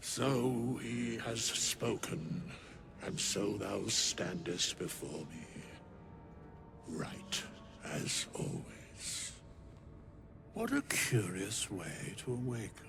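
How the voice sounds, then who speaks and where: A man puts on a character voice at a medium pitch, speaking at a very slow pace. He leaves long, frequent pauses, with clear background noise behind him. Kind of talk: archaic, solemn speech. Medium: video game. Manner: slow, grave, measured.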